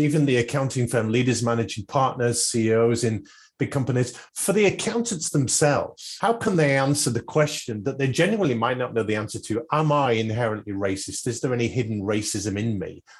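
Somewhat breathy, a man with a British accent talks at a fairly quick pace with ordinary pitch variation. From UK. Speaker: podcast host. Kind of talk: interview; scripted tips segment.

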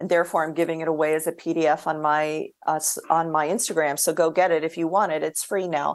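Against a quiet background, a woman talks in an ordinary speaking voice. Her pitch is fairly low and her pace fairly quick. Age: 50s. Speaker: orthopedic surgeon. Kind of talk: casual chat.

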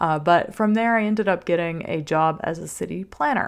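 A woman with an American accent speaks at a fairly low pitch with ordinary pitch variation, on a very clean recording with a silent background. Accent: Southern US (Louisiana), shifts with location. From US South, Louisiana. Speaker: sex coach and podcast host. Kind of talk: solo podcast monologue, personal story. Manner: warm, personable, enthusiastic.

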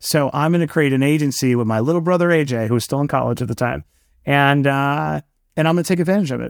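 The speaker talks at a very fast pace in an American accent. Pitch variation is ordinary. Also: man, fairly high pitch for a man, very clean recording, silent background. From New York City (Queens). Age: 40s. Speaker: entrepreneur and author. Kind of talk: interview.

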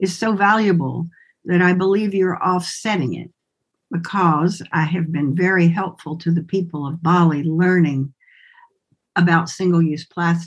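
This woman speaks fairly slowly with a slight Southern US accent. Her pitch is fairly low, and her intonation stays fairly even. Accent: slight Southern lilt. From US South, Winston-Salem, North Carolina. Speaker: somatic movement and healing arts educator. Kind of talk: interview conversation.

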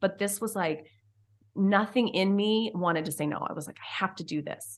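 A woman's unremarkable speaking voice, medium in pitch, with ordinary pitch variation, a moderate pace and a quiet background. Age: 40s. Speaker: former teacher and mom podcaster. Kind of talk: interview.

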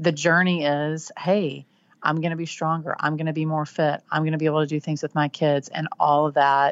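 With a Texan accent, a woman speaks in a very deep, low pitch and a monotone, flat intonation. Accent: Texan, twangy. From Texas Panhandle. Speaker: author and blogger. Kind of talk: casual interview chat.

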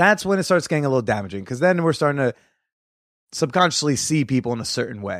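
Very fast and animated, a man with an American accent talks at a fairly high pitch with very wide pitch swings, in a very clean recording with a silent background. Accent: New Jersey, denied by him. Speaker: comedian podcast host. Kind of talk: casual chat. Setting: recorded in person at guest's place.

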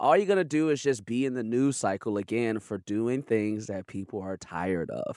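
A man with an American accent speaks at medium pitch and a moderate pace, with lively intonation and hardly any pauses, in an ordinary speaking voice. The recording is very clean with a silent background, and the sound is dry and close with no echo. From Chicago, South Side. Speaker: comedian. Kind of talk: casual chat.

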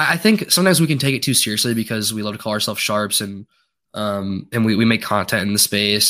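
A man talks at a very fast pace in a bright, sharp tone with ordinary pitch variation. The recording is very clean with a silent background. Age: 20s. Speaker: fantasy football content creator. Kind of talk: casual chat.

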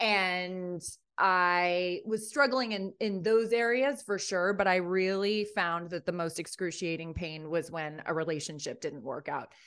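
A woman with a New York accent speaks at a fairly slow pace in a medium pitch. Her pitch varies in an ordinary way, and the background is quiet. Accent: American, New York area. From US Northeast, Rye, New York. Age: 40s. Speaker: heartbreak coach. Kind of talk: podcast interview. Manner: animated.

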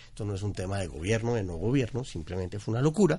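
Over a quiet background, a man sounds somewhat breathy as he talks at a very fast pace with lively intonation. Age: 40s. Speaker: behavioral economist, consumer analyst. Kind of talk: podcast interview.

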